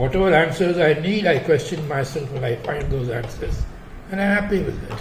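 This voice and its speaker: A man speaks with a fairly high pitch at a fairly quick pace. Noticeable background noise sits behind him. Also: ordinary pitch variation. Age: 90s. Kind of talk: interview answer.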